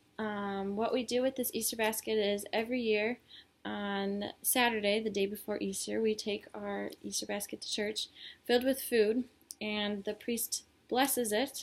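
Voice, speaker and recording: A woman's fairly high voice in a Midwestern accent, at a moderate pace, with monotone, flat intonation. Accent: American Midwest. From Illinois, US. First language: Polish. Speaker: student. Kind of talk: class presentation video. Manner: hesitant, many fillers.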